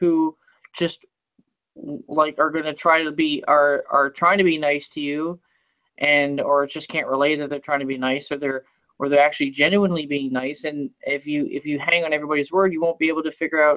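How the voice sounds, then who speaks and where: A woman's very deep, low voice in a monotone, flat intonation at a moderate pace, with a dry, close sound with no echo. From Canada. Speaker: live stream host. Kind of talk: casual chat.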